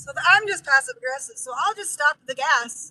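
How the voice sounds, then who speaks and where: In a raised, projected voice with a high pitch and lively intonation, a woman speaks with a dry, close sound and no echo. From Idaho, US. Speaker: vanlife streamer and move-abroad coach. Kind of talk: casual live-stream chat while driving. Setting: in a car. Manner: animated, passionate.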